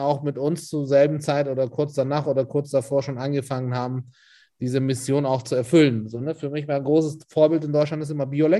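In a Hamburg accent, a man speaks at a moderate pace with a dark, mellow tone and monotone, flat intonation against a quiet background. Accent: sounds like a native Hamburg German speaker. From Turkey, Istanbul. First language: Turkish (speaking German). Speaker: catering and food events entrepreneur. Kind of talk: casual interview. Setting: office.

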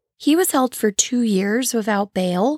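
In a Midwestern American accent, a woman speaks at a moderate pace in a fairly high pitch with a dark, mellow tone, on a very clean recording with a silent background and a dry, close sound with no echo. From St. Louis area, Illinois side. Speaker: true crime podcast host. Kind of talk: casual solo podcast narration. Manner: casual, chatty.

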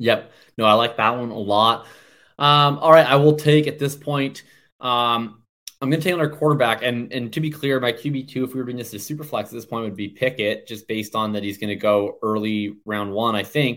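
In a Canadian accent, an unremarkable speaking voice moves at a fairly quick pace, with big swings in loudness and ordinary pitch variation. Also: man, medium pitch for a man. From Canada. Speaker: fantasy football analyst. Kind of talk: casual chat.

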